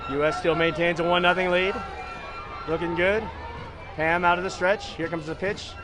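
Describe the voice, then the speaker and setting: Over noticeable background noise and audible room echo, a man with a high voice talks at a moderate pace with fairly even intonation. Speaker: baseball play-by-play commentator. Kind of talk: live commentary. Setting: small broadcast room at packed stadium.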